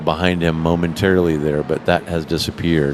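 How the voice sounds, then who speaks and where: At a fairly quick pace and with fairly even intonation, a man talks over noticeable background noise. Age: 50s. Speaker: sim racing commentator and driver. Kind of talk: live commentary. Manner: hesitant, many fillers.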